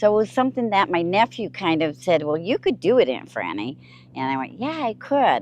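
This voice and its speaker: A woman's medium-pitched voice with vocal fry, very wide pitch swings and a fairly quick pace. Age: 80s+. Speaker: full-time RVer. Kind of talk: casual chat.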